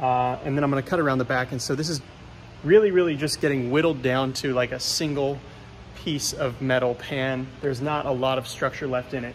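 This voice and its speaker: A man talks at a fairly quick pace with fairly even intonation. Light background noise sits behind him. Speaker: car builder vlogger. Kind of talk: casual vlog chat. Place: workshop. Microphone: phone near.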